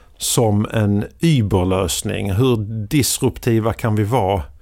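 Very slowly, a man speaks with a fairly low pitch and ordinary pitch variation. The recording is very clean, with a silent background. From Sweden, southern Skåne. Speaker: media executive and podcaster. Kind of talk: casual interview. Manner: halting.

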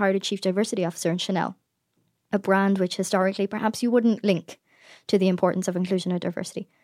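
A woman with an Irish accent talks at a very fast pace in a medium pitch, her tone dark and mellow and her intonation monotone and flat, in a very clean recording with a silent background and a dry, close sound with no echo. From Ireland. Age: 20s. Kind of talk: interview conversation. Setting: studio.

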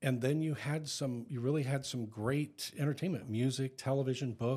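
A man speaks at medium pitch and a moderate pace, with ordinary pitch variation, in a normal speaking voice. The recording is very clean, with a silent background. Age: 50s. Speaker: podcast co-host. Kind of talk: casual chat.

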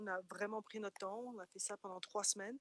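The speaker is a woman at medium pitch. Her intonation is monotone and flat. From France. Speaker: interviewee. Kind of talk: casual chat. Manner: hesitant, repeats words.

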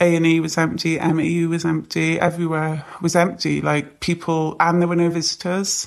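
A woman with a British accent speaks at a moderate pace with hardly any pauses. Her pitch is fairly low and her intonation monotone and flat. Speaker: nurse. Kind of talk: interview.

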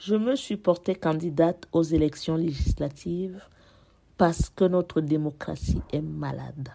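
Against a quiet background, a woman with a very deep, low pitch and a dark, mellow tone talks at a fairly slow pace with ordinary pitch variation. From France, Paris. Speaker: parliamentary candidate. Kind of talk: prepared speech. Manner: formal.

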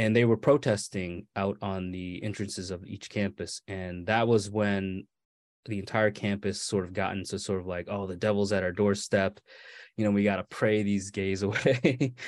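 A man with an American accent speaks in an unremarkable speaking voice at a fairly low pitch. His pace is moderate, his intonation fairly even, and the background quiet. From Maine, US (born California). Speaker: author. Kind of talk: interview.

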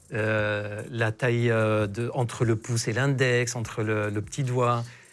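Music in the background behind a man speaking at a very slow pace with fairly even intonation. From Lebanon. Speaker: sexologist doctor. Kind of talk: casual interview chat.

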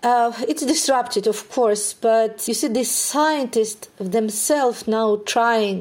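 In a Ukrainian accent, a woman speaks at a very slow pace. Her pitch is fairly high, with ordinary variation. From Ukraine. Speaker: neuroscientist. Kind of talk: interview.

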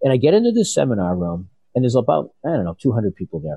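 This is an ordinary speaking voice. It moves at a fairly quick pace. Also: man. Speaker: entrepreneur and life coach. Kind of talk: interview storytelling.

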